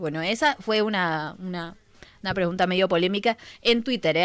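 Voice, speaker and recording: A woman's medium-pitched voice, with ordinary pitch variation, comes through on a very clean recording with a silent background. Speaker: radio co-host. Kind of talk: casual chat.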